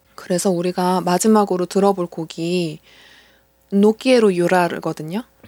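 A woman talks in a plain, everyday voice at a medium pitch and moderate pace. Her intonation is fairly even, and the sound is dry and close with no echo. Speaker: podcast host. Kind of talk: casual chat.

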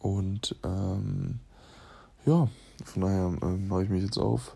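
Very deep and low in pitch, a man's somewhat breathy voice carries a dark, mellow tone and lively intonation. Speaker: basketball player and podcaster. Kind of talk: casual voice memo monologue. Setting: lying in bed at home.

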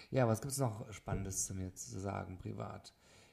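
Speaking at a moderate pace, a man has a dark, mellow tone at medium pitch, with vocal fry. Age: 30s. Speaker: wedding photographer, podcast host. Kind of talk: solo podcast monologue. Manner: hesitant with frequent fillers.

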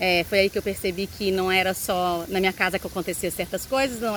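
Her voice is a plain, everyday voice. This woman talks at medium pitch and a moderate pace. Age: 40s. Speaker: YouTuber, mother. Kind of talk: vlog monologue.

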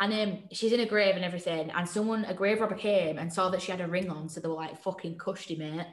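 A woman with a northern English accent talks at a fairly quick pace in a fairly low pitch, her bright, sharp tone carrying audible room echo. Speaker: podcast co-host. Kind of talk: casual chat. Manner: animated, laughing often.

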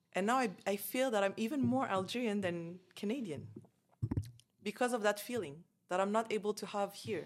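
With an unremarkable speaking voice, a woman talks at a moderate pace and medium pitch, her intonation lively. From Canada, Montreal. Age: 30s. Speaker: expat guest. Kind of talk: casual chat.

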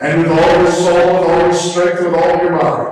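In a put-on character voice, a man speaks at a high pitch and moderate pace with monotone, flat intonation and a strong echo. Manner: haughty, pompous.

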